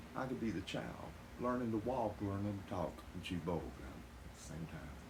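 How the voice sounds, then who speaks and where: A man speaks with a very deep, low pitch and very wide pitch swings. Noticeable background noise and audible room echo fill the recording. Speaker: YouTuber and songwriter. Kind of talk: monologue to camera. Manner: fast talker, others say.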